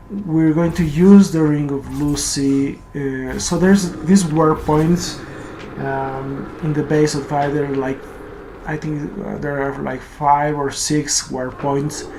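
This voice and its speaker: Someone with a Spanish accent speaks at a very slow pace over noticeable background noise. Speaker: gaming YouTuber. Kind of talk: game tutorial voiceover. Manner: halting, many fillers.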